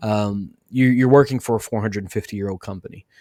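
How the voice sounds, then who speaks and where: A man with a Western Kentucky accent speaks at a very fast pace, his pitch fairly low with ordinary variation. The recording is very clean, with a silent background and a dry, close sound free of echo. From US South, Western Kentucky. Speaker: podcast host. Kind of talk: interview; scripted outro.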